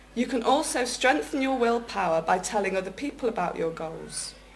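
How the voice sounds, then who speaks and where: Lively intonation rises and falls over noticeable background noise. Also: woman. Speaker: public speaking club member. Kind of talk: prepared speech at a speaking club contest.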